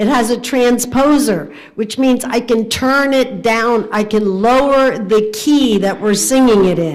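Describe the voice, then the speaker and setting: Audible room echo surrounds a woman speaking at a fairly slow pace, her fairly high voice using lively intonation. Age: 70s. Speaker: organist. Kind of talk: casual chat. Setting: livestream.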